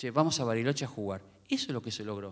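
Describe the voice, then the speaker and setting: In a Rioplatense accent, a man speaks against a quiet background. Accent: Argentine Spanish (rioplatense). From Argentina. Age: 50s. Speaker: tennis coach for the blind, book author; tennis coach for the blind. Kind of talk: book presentation talk. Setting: theater with live audience. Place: stage. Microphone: handheld.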